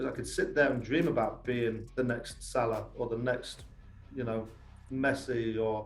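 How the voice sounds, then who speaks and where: With a strong English accent, a man speaks at medium pitch and a moderate pace, with vocal fry and audible room echo. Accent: English accent, still fairly strong. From England, Lincolnshire (east coast). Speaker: youth soccer academy coach. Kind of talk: podcast interview. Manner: animated.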